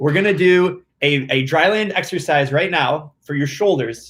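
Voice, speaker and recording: This man's voice sits at a fairly high pitch with ordinary pitch variation. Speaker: swim coaching app host. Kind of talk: live Q&A stream. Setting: livestream on video platforms. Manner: fast.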